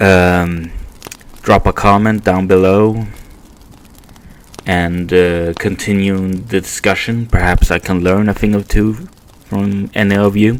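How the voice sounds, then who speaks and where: A man's fairly low, monotone, flat voice with a non-native accent, very slow and broken by long, frequent pauses. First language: Swedish. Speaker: podcast host. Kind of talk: casual monologue podcast. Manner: halting, many fillers.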